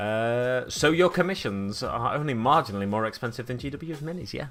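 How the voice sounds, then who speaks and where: With noticeable background noise, a man in a Manchester accent talks fairly quickly at a medium pitch with lively intonation. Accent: Stockport-like Manchester. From Manchester, England (Burnage/East Didsbury). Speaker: miniature painting streamer. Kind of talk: casual live-stream chat. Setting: live stream.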